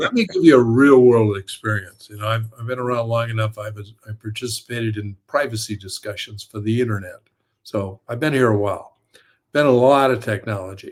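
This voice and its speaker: At a fairly quick pace, a man with a medium-pitched, somewhat breathy voice speaks with big swings in loudness. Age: 70s. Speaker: author and storyteller. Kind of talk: casual chat. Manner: animated.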